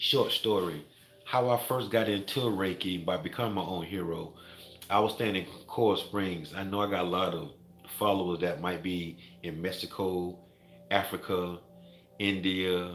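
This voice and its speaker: A man speaks with a very deep, low pitch and fairly even intonation. There is audible room echo. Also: moderate pace. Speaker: Reiki master and wellness vlogger. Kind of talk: motivational vlog monologue.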